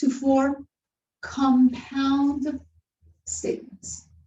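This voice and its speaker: Speaking at a very slow pace, a woman with a non-native accent has a high pitch. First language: not English. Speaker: university lecturer. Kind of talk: lecture.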